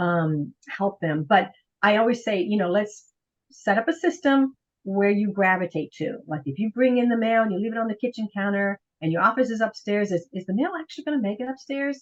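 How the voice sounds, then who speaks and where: A woman talks at a fairly quick pace in a plain, everyday voice. Her pitch sits fairly high and her intonation is lively. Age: 60s. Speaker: professional organizer. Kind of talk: interview.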